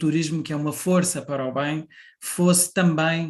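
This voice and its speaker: The background is quiet as a man talks at a fairly slow pace. His fairly high pitch follows fairly even intonation. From Portugal. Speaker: national tourism board president. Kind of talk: conference presentation. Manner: hesitant, many fillers.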